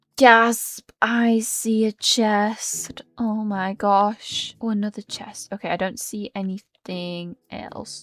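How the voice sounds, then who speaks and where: A woman with a British accent speaks very slowly in a fairly high, monotone, flat voice with hardly any pauses and big swings in loudness, the sound dry and close with no echo. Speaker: gaming youtuber. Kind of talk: gameplay commentary.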